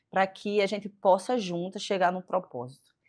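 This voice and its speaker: A woman speaks at a fairly slow pace with a strong northeastern Brazilian accent against a quiet background. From Northeast Brazil. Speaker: physiotherapist. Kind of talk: faith interview chat.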